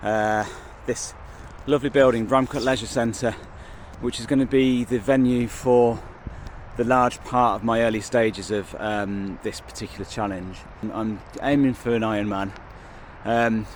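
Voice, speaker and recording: A man with an English Midlands accent talks at a medium pitch and a moderate pace. His pitch varies in an ordinary way, with long, frequent pauses. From English Midlands, Kenilworth. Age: 40s. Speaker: vlogger. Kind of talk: casual vlog monologue. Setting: outdoors. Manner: hesitant, many fillers.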